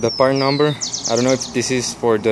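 Noticeable background noise behind a man, his pitch variation ordinary. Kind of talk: casual tutorial vlog. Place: street. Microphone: phone near.

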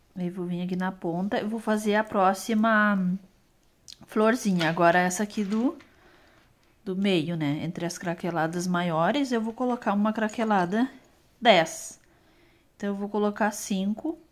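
Long, frequent pauses break up a woman's fairly slow speech, her pitch varying in an ordinary way. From Brazil. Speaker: craft youtuber. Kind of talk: tutorial. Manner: casual, chatty. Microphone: phone near.

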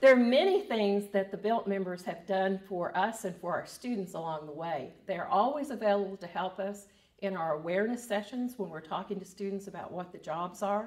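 Against a quiet background, a woman talks at a fairly quick pace with hardly any pauses. Her pitch varies in an ordinary way. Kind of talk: interview answer. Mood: calm, positive. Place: office.

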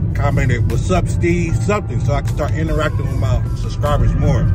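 A man talks at a fairly quick pace, the sound dry with no echo. Loud music plays in the background. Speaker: vlogger. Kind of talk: casual vlog chat. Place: car. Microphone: phone near.

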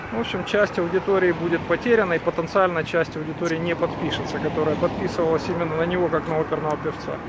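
Amid loud background noise, a man with a high pitch speaks at a very fast pace in a dry sound with no echo. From Ukraine. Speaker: video blogger. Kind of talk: casual vlog walk-and-talk. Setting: outdoors. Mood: bitter in parts. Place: street. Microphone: phone near.

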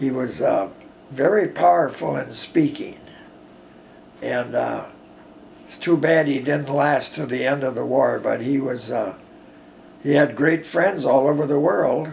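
A man with an Upper Midwest accent, long, frequent pauses and light background noise. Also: fairly slow pace. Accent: Upper Midwest American. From US Midwest. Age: 80s+. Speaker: war veteran. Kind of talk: oral history interview. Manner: halting. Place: home room.

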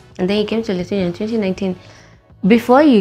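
Faint music plays in the background. A woman speaks with fairly even intonation. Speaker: podcast host. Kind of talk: podcast interview questions. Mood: cheerful, laughing. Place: home room. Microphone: lapel.

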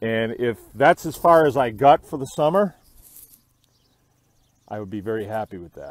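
A man speaks at a fairly slow pace, his pitch rising and falling in an ordinary way.

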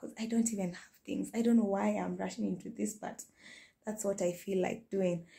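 Against a quiet background, a woman's somewhat breathy voice carries a dark, mellow tone. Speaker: home cooking vlogger. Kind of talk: casual vlog chat. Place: kitchen. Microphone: phone near.

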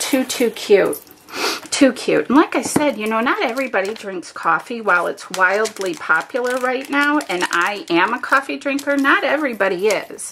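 Over light background noise, a woman with a high pitch speaks in an animated tone, her pitch swinging very widely. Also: moderate pace. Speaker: paper craft demonstrator. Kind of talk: craft tutorial. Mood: cheerful, chatty.

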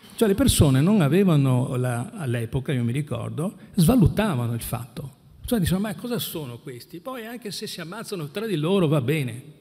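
Swinging widely in both pitch and loudness, a man speaks at a fairly quick pace. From Venice, Veneto; Veneto. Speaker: anti-mafia prosecutor. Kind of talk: panel talk. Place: hall.

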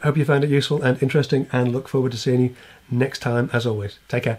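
At a very fast pace, a man speaks in a somewhat breathy voice. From England. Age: middle-aged. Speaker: woodworking YouTuber. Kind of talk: casual channel update to camera. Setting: home workshop or backyard. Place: home room.

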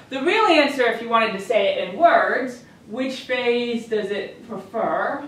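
A woman with a fairly high pitch and fairly bright tone talks at a fairly slow pace with lively intonation, in a room with strong echo.

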